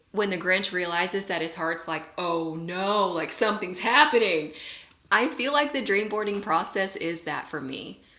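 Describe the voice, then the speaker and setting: A woman speaks with ordinary pitch variation amid audible room echo. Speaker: network marketing leader, guest speaker. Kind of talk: motivational talk on a video call.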